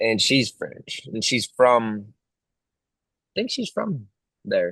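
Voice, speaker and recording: A man with a Texan accent speaks at a very slow pace, his voice sounding dry and close with no echo. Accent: own accent remarked, country Texan. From Texas. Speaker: country singer. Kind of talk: casual interview chat.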